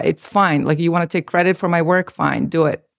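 In a very clean recording with a silent background, a woman speaks with a Serbian accent at a fairly quick pace. Her fairly low voice carries vocal fry and fairly even intonation. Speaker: human resources professional. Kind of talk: casual chat. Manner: playful, laughs often.

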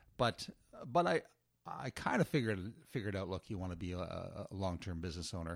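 A plain, everyday voice from a man, fairly low in pitch with ordinary variation, at a fairly quick pace, in a dry, close, very clean recording with a silent background and no echo. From Atlantic Canada (Moncton, New Brunswick). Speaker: author and investor advocate, former banker. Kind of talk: interview. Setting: studio.

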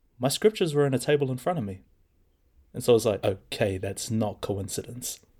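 This man speaks with a New Zealand accent, his pitch swinging very widely. The recording is very clean, with a silent background. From New Zealand, Hamilton. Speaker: prospective missionary, young church member. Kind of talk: personal testimony in casual chat.

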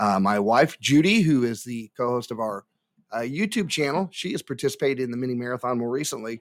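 A man speaks with an American accent at a fairly quick pace. He has an unremarkable speaking voice, medium in pitch with ordinary pitch variation. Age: middle-aged. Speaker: podcast host. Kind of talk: casual solo podcast monologue. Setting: home, live recording. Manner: relaxed, with frequent fillers.

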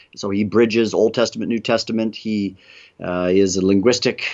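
A man's medium-pitched voice at a moderate pace, with an Ontario accent. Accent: Canadian English (Ontario). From Canada, Toronto area. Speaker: theology professor. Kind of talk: interview on theology.

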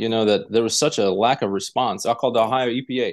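Here is an ordinary speaking voice with an American accent and ordinary pitch variation. It moves at a fairly quick pace over a quiet background. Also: man. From Uzbekistan (Tashkent), then Russia; US from childhood. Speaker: real estate entrepreneur. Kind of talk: casual interview chat.

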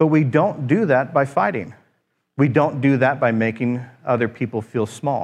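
A man's medium-pitched voice at a moderate pace, with ordinary pitch variation. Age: 40s. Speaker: pastor. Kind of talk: sermon. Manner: halting.

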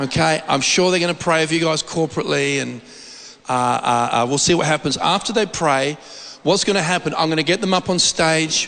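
A man with a fairly high pitch speaks at a moderate pace and very even loudness. Noticeable background noise is present. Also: ordinary pitch variation. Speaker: preacher. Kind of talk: sermon. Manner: informal, storytelling.

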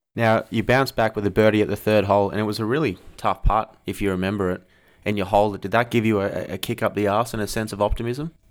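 In a very clean recording with a silent background, a man with an Australian accent talks very fast in a fairly low voice with fairly even intonation. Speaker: podcast host. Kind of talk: interview.

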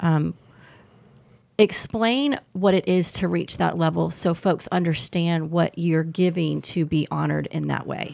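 A woman speaks fairly slowly at a fairly low pitch, in an unremarkable speaking voice. The recording is very clean, with a silent background. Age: 50s. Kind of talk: interview conversation.

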